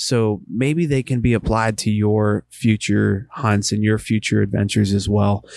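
In a very clean recording with a silent background, a man with an American accent speaks at a moderate pace in an unremarkable speaking voice of fairly low pitch. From Western Pennsylvania. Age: 30s. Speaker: hunting podcast host. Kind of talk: casual monologue. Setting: home basement.

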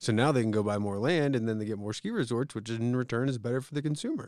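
A man with an American accent at a very fast pace, medium pitch and ordinary pitch variation, on a very clean recording with a silent background. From US East Coast, Pennsylvania (Philadelphia area). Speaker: podcast co-host. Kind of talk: casual chat.

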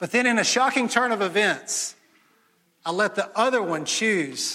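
A man speaks loudly with a Mississippi accent and ordinary pitch variation. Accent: Mississippi Southern US. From US South, Jackson, Mississippi. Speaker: pastor. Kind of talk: sermon. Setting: church.

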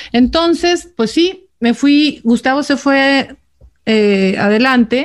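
The pace is very slow. The intonation is lively. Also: woman. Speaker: podcast co-host, expatriate. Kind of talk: casual chat.

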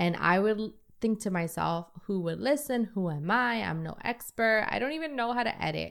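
On a very clean recording with a silent background, a woman with an American accent speaks at a medium pitch and moderate pace, her intonation lively. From New York City. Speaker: podcast host. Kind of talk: solo podcast monologue.

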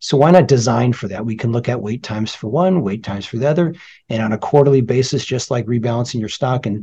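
A man talks very fast in a General American accent, his voice somewhat breathy with a dark, mellow tone and ordinary pitch variation. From California. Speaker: surgeon, department chair. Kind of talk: interview.

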